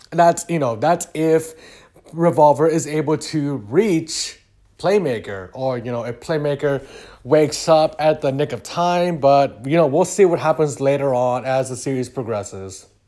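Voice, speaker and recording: A man with a fairly high pitch and a dark, mellow tone talks at a moderate pace in a very clean recording with a silent background. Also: ordinary pitch variation. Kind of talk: casual anime speculation commentary. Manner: stutters at times.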